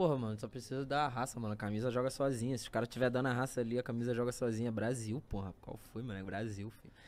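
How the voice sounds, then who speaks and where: Barely pausing at all, a man with a medium pitch talks at a very fast pace. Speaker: battle rapper. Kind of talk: casual chat. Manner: animated.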